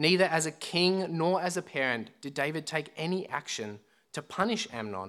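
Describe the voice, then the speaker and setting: In a very clean recording with a silent background, a man with an Australian accent talks at a moderate pace, his high-pitched voice bright and sharp with very wide pitch swings. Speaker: student minister. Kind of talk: sermon. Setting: church.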